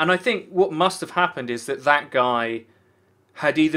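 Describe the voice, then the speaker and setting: A man's bright, sharp voice at a fairly high pitch, with lively intonation and a moderate pace, on a very clean recording with a silent background. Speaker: podcast panelist. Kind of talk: casual chat.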